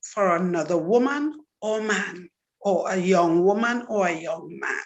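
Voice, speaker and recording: Speaking very slowly in a Trinidadian accent, a woman uses lively intonation at a medium pitch. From Trinidad and Tobago. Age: 60s. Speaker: testimony speaker. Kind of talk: testimony.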